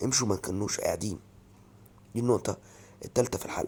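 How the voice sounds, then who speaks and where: A man talks very fast in an Egyptian accent at a medium pitch. His voice is somewhat breathy, with ordinary pitch variation. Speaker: football fan commentator. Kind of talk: opinion vlog rant. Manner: animated.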